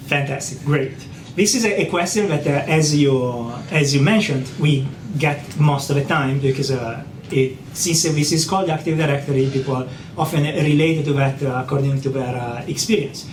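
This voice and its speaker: A man's fairly high voice with an Italian accent at a moderate pace, with audible room echo and noticeable background noise. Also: ordinary pitch variation. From Italy. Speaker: software identity expert. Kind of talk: technical interview.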